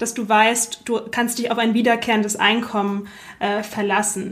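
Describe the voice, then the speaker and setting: Her voice is fairly high in pitch for a woman, delivered in a monotone, flat intonation. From Germany. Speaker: podcast host. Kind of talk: interview.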